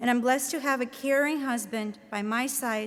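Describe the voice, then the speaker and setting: A woman with a Latvian accent speaks at a fairly high pitch with fairly even intonation. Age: 30s. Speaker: professor. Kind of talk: commencement speech. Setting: stage with audience.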